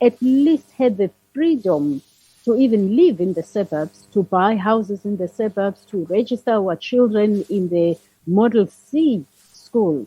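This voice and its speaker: Speaking with a South African accent, a woman has a medium pitch and a somewhat breathy voice. Her intonation is lively and her pace fairly slow. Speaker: leadership consultant. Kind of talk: interview.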